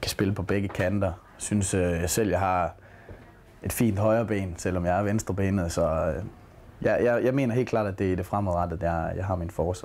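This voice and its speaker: A man's voice, fairly low in pitch, with fairly even intonation at a moderate pace. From Denmark, Aarhus; Denmark. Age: 20s. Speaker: footballer. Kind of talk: interview. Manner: halting. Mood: relaxed, reflective. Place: home room.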